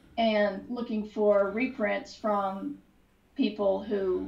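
A woman speaks slowly at medium pitch with fairly even intonation and vocal fry. Room echo is audible.

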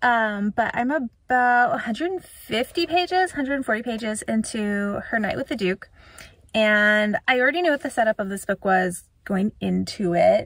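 A woman speaks at a fairly slow pace, and the sound is dry with no echo. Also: quiet background. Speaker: book vlogger. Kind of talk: casual vlog chat. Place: car. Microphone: phone near.

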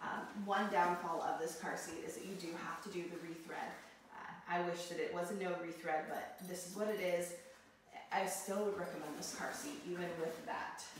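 A woman's fairly low voice at a moderate pace, with fairly even intonation, strong room echo and light background noise. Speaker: product reviewer. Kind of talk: tutorial. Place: empty room. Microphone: camera far.

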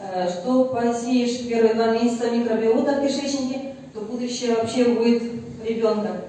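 Through strong room echo and light background noise, a woman speaks at a moderate pace in a fairly high pitch, with fairly even intonation. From Russia. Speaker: family doctor. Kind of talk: casual testimonial. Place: meeting room.

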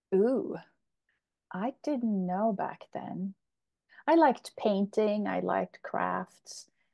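A woman talks very slowly with quiet all around her. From Sweden. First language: Swedish or Polish. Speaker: emotional relief coach; interview guest. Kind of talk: interview. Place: home room. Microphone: earbuds.

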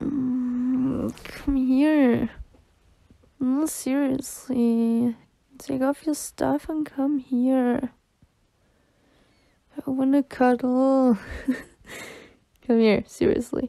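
A woman with a high pitch and a dark, mellow tone talks at a very slow pace, her intonation fairly even and her pauses long and frequent. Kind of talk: ASMR girlfriend roleplay. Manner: soft-spoken, drowsy.

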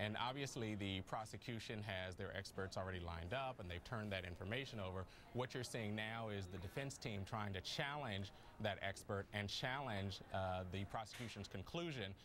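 A man with a fairly low pitch speaks in an ordinary speaking voice at a moderate pace, with ordinary pitch variation over light background noise. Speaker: news guest. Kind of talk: interview answer. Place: studio.

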